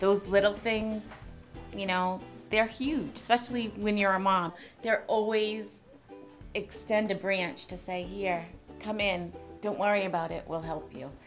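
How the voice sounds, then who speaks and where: Clear music plays behind a woman who speaks at a fairly slow pace with ordinary pitch variation and long, frequent pauses. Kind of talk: interview answer. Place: shop. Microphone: lapel.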